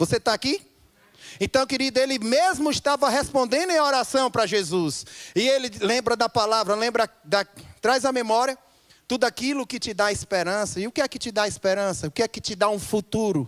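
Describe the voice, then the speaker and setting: Recorded dry and close with no echo, the speaker uses lively intonation and an animated tone at a moderate pace. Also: man, extremely high pitch for a man. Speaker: pastor. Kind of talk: sermon.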